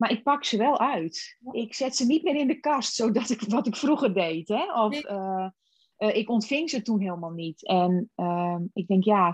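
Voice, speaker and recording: A woman with a fairly high, somewhat breathy voice swings her pitch very widely. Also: fairly slow pace. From Friesland, Netherlands. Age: 40s. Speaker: personal development coach. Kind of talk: casual chat.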